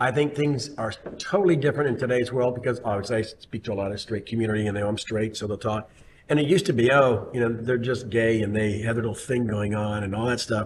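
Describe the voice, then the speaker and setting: A man speaks very fast at a medium pitch with ordinary pitch variation over noticeable background noise. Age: 60s. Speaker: city official. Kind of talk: casual chat. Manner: halting.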